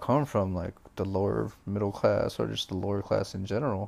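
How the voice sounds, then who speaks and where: Speaking at a fairly quick pace, a man uses a fairly low pitch with vocal fry. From Filipino heritage. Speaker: podcast host. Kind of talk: casual chat. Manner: animated.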